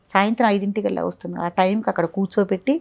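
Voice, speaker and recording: She has a plain, everyday voice pitched in the medium range. Her pitch varies in an ordinary way. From Andhra Pradesh, Nallamala forest region. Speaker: spiritual teacher at an ashram. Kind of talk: interview about personal spiritual experiences.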